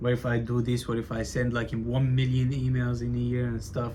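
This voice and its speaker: A man talks at medium pitch and a moderate pace. His intonation is monotone and flat. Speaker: aspiring entrepreneur vlogger. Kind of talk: casual vlog monologue. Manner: stutters a lot; casual, filler-heavy.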